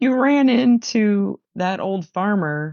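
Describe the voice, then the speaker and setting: The speaker has a Midwestern American accent. The intonation is lively. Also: woman. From Missouri, USA. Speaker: coach and consultant. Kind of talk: interview answer.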